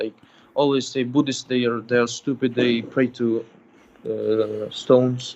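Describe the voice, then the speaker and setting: Medium-pitched male voice with a non-native accent, at a moderate pace. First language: not English. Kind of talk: call-in religious discussion. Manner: halting.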